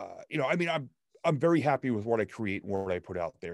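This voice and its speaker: Dry and close with no echo, a man talks at a very fast pace in an animated tone with lively intonation. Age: 50s. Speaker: stand-up comedian and motivational speaker. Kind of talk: casual interview chat.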